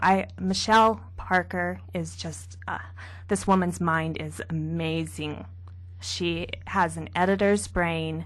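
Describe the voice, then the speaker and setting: A woman talks at a very slow pace, her loudness swinging widely. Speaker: novelist. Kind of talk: radio interview. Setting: radio studio.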